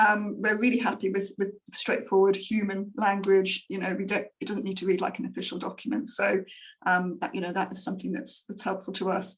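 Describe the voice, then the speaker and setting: A woman speaks with an English accent at a medium pitch and a fairly quick pace. Her intonation stays fairly even, and her voice is somewhat breathy. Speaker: grant funder presenter. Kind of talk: online presentation. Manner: fast; hesitant, many fillers.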